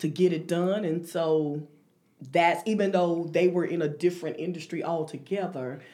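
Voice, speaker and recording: Using an ordinary speaking voice, a woman with an American accent talks at a fairly low pitch and moderate pace with fairly even intonation. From North Carolina (Thomasville). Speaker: financial consultant. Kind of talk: interview. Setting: studio.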